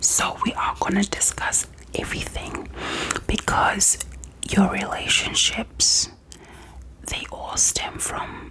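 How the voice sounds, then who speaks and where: A woman whispers at a very slow pace, her tone gentle. Noticeable background noise sits behind her. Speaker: ASMR creator. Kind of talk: ASMR therapist roleplay, personal attention. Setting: close-mic studio with gum chewing mouth sounds. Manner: soft, gentle, slow.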